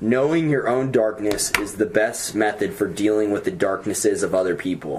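A man speaks at a moderate pace in a fairly low voice with very even loudness, ordinary pitch variation and hardly any pauses, over noticeable background noise. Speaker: podcast guest. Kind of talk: casual chat.

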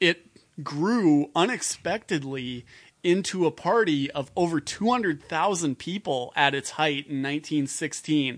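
The voice has an Upper Midwest accent. It moves at a fairly slow pace. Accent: Upper Midwest American. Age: 30s. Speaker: political organizer and technician. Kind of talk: casual chat.

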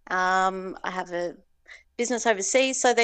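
Against a quiet background, a woman with an Australian accent talks at a moderate pace with lively intonation. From Tasmania, Hobart. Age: 40s. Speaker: entrepreneur. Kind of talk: casual interview.

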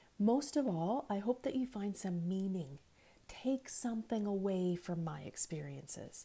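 A woman with a somewhat breathy, dark and mellow voice at a medium pitch speaks at a fairly slow pace with lively intonation. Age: 50s. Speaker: podcast host. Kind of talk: monologue.

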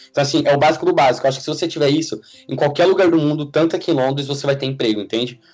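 Over background music, a man talks at a very fast pace in a fairly high pitch with fairly even intonation. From Brazil, São Paulo state (Suzano). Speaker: software engineer. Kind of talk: casual interview.

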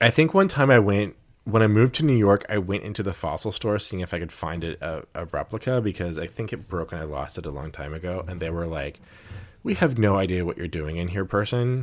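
In a very clean recording with a silent background, a man with an American accent speaks fairly quickly in a very deep, low pitch with lively intonation. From Houston, Texas. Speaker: podcast host. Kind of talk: casual chat.

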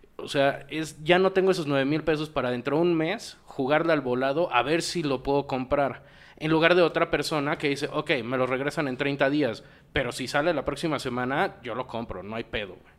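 Speaking at a moderate pace, a man with a Mexican accent uses a fairly high pitch. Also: ordinary pitch variation. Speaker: podcast host. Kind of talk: casual chat.

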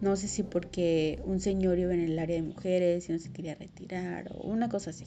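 Music plays in the background as a woman with a Mexican accent speaks at a fairly quick pace. Her fairly low voice keeps a fairly even intonation. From Mexico, provinces outside Mexico City. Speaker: podcast host. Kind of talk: personal monologue.

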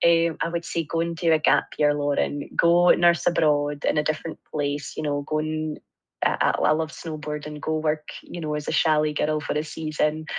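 A woman speaks with a Scottish accent at a moderate pace. Her pitch is very deep and low, and her intonation is monotone and flat. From Scotland, Angus. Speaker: nurse lecturer. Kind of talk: interview.

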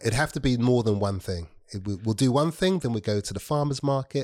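A man with an ordinary speaking voice talks at a fairly quick pace with ordinary pitch variation on a very clean recording with a silent background. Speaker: guest. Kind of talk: casual chat.

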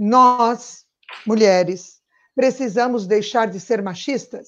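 A woman's fairly high voice at a fairly slow pace. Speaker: political activist. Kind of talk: live-streamed political panel chat. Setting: live stream.

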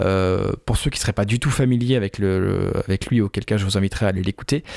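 This man has a normal speaking voice, fairly low in pitch with ordinary pitch variation. The sound is dry and close, with no echo. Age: 30s. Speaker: film podcast host. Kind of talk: casual chat.

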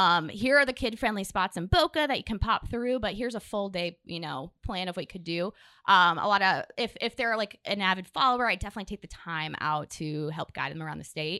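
With lively intonation and a bright, sharp tone, a woman talks with hardly any pauses, her sound dry and close with no echo on a very clean recording against a silent background. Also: medium pitch for a woman, fairly quick pace. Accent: American. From Florida. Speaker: travel influencer. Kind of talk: casual chat. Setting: studio.

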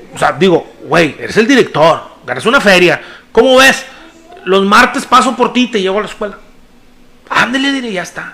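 Amid noticeable background noise, a man with an extremely high pitch uses a raised, projected voice and an animated tone, moving at a moderate pace with lively intonation and long, frequent pauses. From Mexico, Nuevo León (Monterrey area). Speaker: podcast co-host. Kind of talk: casual chat.

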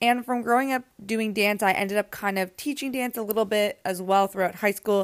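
With a plain, everyday voice, a woman talks at a fairly quick pace with hardly any pauses and fairly even intonation, the recording very clean with a silent background and a dry, close sound with no echo. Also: medium pitch for a woman. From Canada, Toronto area. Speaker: pilates instructor and podcast host. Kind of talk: casual solo talk answering listener questions.

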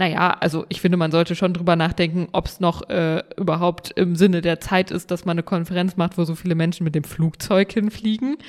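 Here is a woman with an unremarkable speaking voice at a medium pitch. She talks at a fairly quick pace with fairly even intonation. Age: young. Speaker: state politician and podcast co-host. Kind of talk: casual chat. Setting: remote call from home office.

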